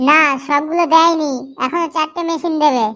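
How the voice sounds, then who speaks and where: A woman's squeaky, extremely high-pitched cartoonish character voice with fairly even intonation. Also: moderate pace. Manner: eager, obliging.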